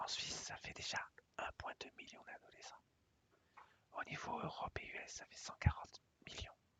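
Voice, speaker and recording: Someone whispers at a moderate pace. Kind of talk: business pitch presentation. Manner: whispered; hesitant, many fillers.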